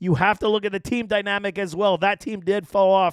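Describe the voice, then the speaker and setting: In a very clean recording with a silent background, a man with a high pitch speaks in an animated tone. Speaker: fantasy football analyst. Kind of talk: sports analysis commentary.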